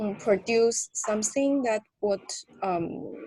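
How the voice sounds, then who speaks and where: A woman with a non-native accent and fairly high pitch, very slow, with lively intonation and a dry, close sound with no echo. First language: not English. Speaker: graduate student mentee. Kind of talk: workshop introduction. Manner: halting.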